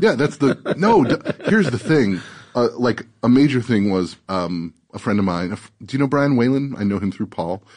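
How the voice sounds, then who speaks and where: A man with an ordinary speaking voice and a medium pitch speaks at a moderate pace. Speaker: writer and podcaster. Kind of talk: casual chat. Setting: studio.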